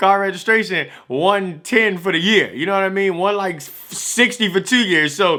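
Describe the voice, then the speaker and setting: A man with an American accent speaks in a raised, projected voice, high-pitched, bright and sharp, animated, with ordinary pitch variation on a very clean recording with a silent background. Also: hardly any pauses. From Washington DC. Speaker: vlogger. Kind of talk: casual vlog talk. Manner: fast, animated.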